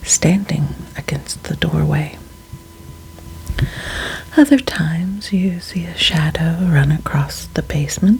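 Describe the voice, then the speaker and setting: The voice whispers and is soft-spoken. Noticeable background noise can be heard. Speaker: ASMR storyteller. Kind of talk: ASMR ghost story reading. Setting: studio, close-mic. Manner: whispered, soft-spoken.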